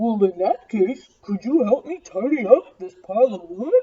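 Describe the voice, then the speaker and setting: This woman speaks at a fairly high pitch. She uses a put-on character voice. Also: moderate pace. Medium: read story.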